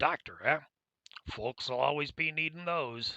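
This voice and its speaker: A man puts on a character voice, fairly high in pitch, at a moderate pace, with a dry, close sound and no echo. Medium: actual play. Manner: folksy, chatty.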